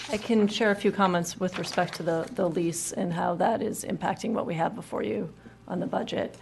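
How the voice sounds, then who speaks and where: A woman speaks at a medium pitch with ordinary pitch variation. She has an ordinary speaking voice. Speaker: pension fund executive. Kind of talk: board meeting discussion. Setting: public board meeting.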